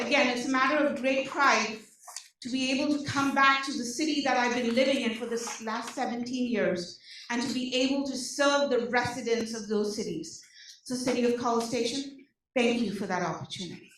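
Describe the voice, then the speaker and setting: Amid audible room echo, a woman with an Indian accent talks fairly quickly in a high voice with ordinary pitch variation. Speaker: social services case manager. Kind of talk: presentation to community meeting. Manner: animated.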